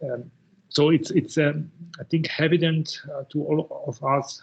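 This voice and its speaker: A man speaks at a very slow pace. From Italy, Udine. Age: 60s. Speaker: professor. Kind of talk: lecture. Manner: halting, many fillers and repetitions.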